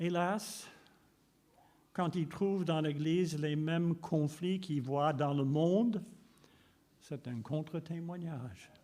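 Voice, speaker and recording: With a dark, mellow tone and ordinary pitch variation, the voice moves at a very slow pace, broken by long, frequent pauses. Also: man, fairly high pitch for a man. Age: 80s+. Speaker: preacher. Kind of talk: sermon.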